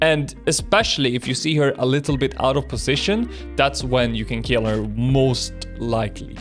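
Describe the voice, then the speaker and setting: Someone speaks with a non-native accent. Music plays in the background. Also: man. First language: not English. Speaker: gaming content creator. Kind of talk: casual unscripted commentary.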